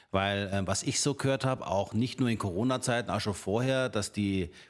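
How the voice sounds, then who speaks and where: Heard on a very clean recording with a silent background, a plain, everyday voice moves at a moderate pace with ordinary pitch variation. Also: man. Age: 50. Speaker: real estate agent. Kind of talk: casual chat.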